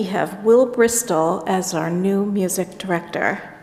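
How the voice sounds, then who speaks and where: A woman speaks at a fairly slow pace with ordinary pitch variation. Audible room echo and noticeable background noise surround her voice. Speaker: pastoral care associate. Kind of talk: church announcements. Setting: church service.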